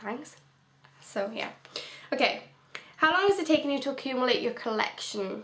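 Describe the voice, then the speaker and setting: Noticeable background noise and audible room echo accompany a high-pitched woman. She speaks with long, frequent pauses. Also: lively intonation, moderate pace. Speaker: book vlogger. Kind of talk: casual vlog. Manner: rambling, hesitant.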